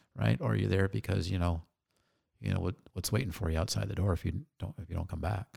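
With an American accent and vocal fry, a man speaks very fast in a very deep, low pitch that makes very wide swings. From Phoenix, Arizona. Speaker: entrepreneur and army veteran. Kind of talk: casual interview.

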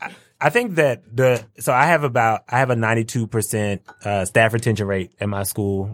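Recorded very cleanly against a silent background with a dry, close sound and no echo, a man with an unremarkable speaking voice talks at a moderate pace and medium pitch, with ordinary pitch variation and big swings in loudness. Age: 30s. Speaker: school administrator. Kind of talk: casual panel conversation.

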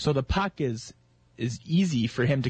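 The man talks with a somewhat breathy sound. His pitch is medium. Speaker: radio co-host. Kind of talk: sports commentary and analysis. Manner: earnest, analytical, explaining plays in detail.

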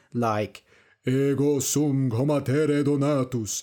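A man's fairly high voice with a British accent, on a very clean recording with a silent background. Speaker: English learning podcast host and storyteller. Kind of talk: scripted story narration for language learners. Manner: slow and clear; expressive voice acting.

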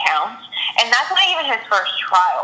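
Noticeable background noise accompanies a woman's voice. Her pitch swings very widely. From Puerto Rico / Colombia heritage. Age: 20s. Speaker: podcast guest, friend of host. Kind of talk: casual chat.

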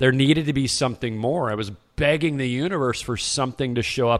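A man talks at a fairly quick pace with a medium pitch and ordinary pitch variation. He has an ordinary speaking voice. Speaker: podcast host. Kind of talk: podcast interview and intro.

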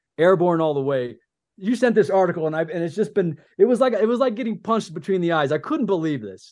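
In a quiet background, a man talks at a fairly quick pace in a high pitch with lively intonation. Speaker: podcast host and army veteran. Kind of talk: casual chat. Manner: halting; subdued.

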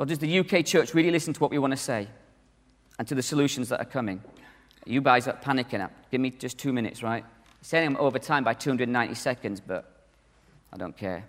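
Speaking very fast with lively intonation and long, frequent pauses, a man with a northern English accent has a medium pitch. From northern England. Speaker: conference speaker, church minister. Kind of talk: conference talk. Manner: animated.

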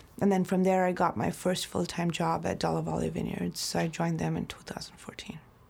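A woman's fairly quick speech, with hardly any pauses, carries over noticeable background noise. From Mumbai, India. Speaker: winemaker. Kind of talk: interview.

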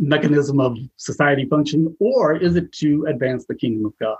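A somewhat breathy man with an American accent, fairly high pitch, ordinary pitch variation and a moderate pace. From US Northwest (Idaho). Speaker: educator and school administrator. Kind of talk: interview.

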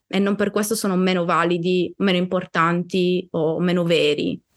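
At a fairly slow pace, a woman talks in an ordinary speaking voice at a medium pitch. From Sardinia, Italy. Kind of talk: interview conversation.

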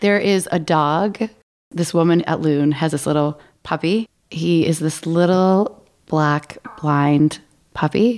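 With an American accent, a woman speaks at a very slow pace, with fairly low pitch, ordinary pitch variation and very even loudness. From Maine, US. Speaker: podcast co-host. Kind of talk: casual chat.

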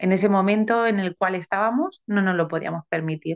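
This woman speaks with fairly even intonation. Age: 30s. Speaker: adoptive mother. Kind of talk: personal testimony interview. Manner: halting.

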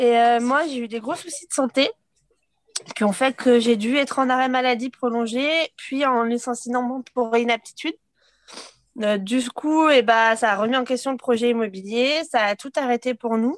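A woman's high-pitched voice, fairly slow and fairly even in intonation, with a dry, close sound and no echo. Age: 30s. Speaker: stay-at-home mother. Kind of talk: interview testimony. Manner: hesitant, many fillers.

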